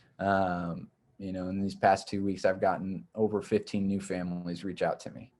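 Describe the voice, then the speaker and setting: At a fairly slow pace, a man talks in a fairly low pitch with an unremarkable speaking voice. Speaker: nonprofit program director. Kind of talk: presentation to a club. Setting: video call.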